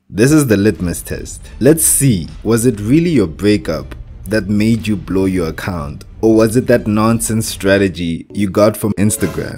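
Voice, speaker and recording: A man's fairly low voice in a strong African accent, at a fairly slow pace with hardly any pauses, over music in the background. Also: lively intonation. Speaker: forex trading instructor. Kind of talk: tutorial. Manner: animated.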